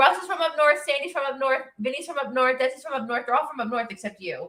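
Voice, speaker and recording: Pitched high, a woman speaks very fast in a raised, projected voice with ordinary pitch variation. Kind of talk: casual, teasing.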